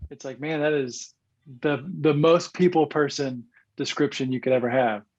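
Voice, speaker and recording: At a moderate pace and fairly high pitch, a man with a Southern US accent talks with ordinary pitch variation against a quiet background. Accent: Southern twang. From US South, northeast Arkansas. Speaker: former pro baseball player, sales executive, church leader. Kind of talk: podcast interview.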